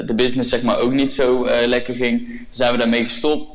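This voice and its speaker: Amid noticeable background noise and audible room echo, a man talks in a flat monotone at a medium pitch. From Brabant, Netherlands. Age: 20s. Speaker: podcast guest, young entrepreneur. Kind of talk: casual interview.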